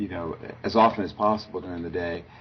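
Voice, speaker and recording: The voice belongs to a man. Noticeable background noise runs beneath it. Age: 60s. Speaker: business school professor. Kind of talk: interview. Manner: halting.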